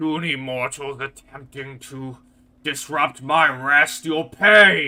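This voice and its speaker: Putting on a character voice, a man talks at a very slow pace with a fairly high pitch. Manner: haughty, threatening.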